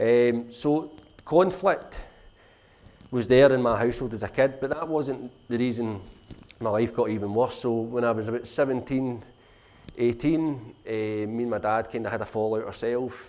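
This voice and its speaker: In a Glasgow accent, a man speaks at a medium pitch and a moderate pace. His pitch varies in an ordinary way, and audible room echo is present. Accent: Glasgow (Govan). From Scotland, Glasgow (Govan). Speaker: social enterprise founder. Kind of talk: conference talk, personal story. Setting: conference stage with audience.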